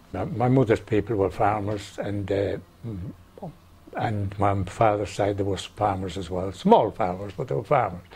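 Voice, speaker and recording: A man with an Irish accent speaks at a moderate pace with a fairly low pitch. His voice is somewhat breathy, and his intonation stays fairly even. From west of Ireland, County Roscommon. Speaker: oral history interviewee. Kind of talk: oral history interview.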